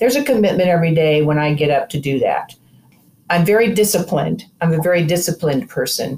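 Speaking at a very fast pace, a woman uses a fairly low, somewhat breathy voice with lively intonation. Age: 60s. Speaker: cancer survivor. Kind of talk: casual interview conversation. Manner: animated, laughs often.

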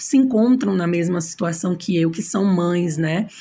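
Her voice somewhat breathy and dark and mellow in tone, a woman speaks at a medium pitch and a fairly slow pace with ordinary pitch variation. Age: 30s. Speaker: braider and single mother. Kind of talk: interview.

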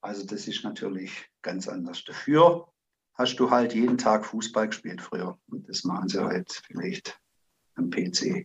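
Speaking at a fairly slow pace, a man with a medium-pitched voice makes very wide pitch swings. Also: big swings in loudness. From Zimmern, Baden-Württemberg, Germany. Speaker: amateur football coach. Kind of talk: interview.

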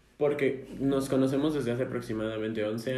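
Fairly quick and fairly even in intonation, a man speaks with a Mexico City accent in a room with audible echo. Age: 20s. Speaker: podcast co-host, engineering student. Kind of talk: casual chat.

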